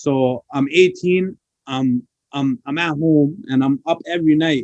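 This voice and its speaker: A man speaks with an unremarkable speaking voice at a fairly high pitch, his intonation lively and the sound dry and close with no echo. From Toronto, Canada (moved from Pakistan as a child). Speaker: rapper. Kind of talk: interview. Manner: casual, filler-heavy.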